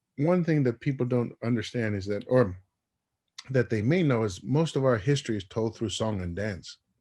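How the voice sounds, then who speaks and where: A man's medium-pitched voice with a dark, mellow tone, moderate pace and lively intonation. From Tonga. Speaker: former radio personality and music executive. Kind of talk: interview. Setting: radio show. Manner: repetitive, halting restarts.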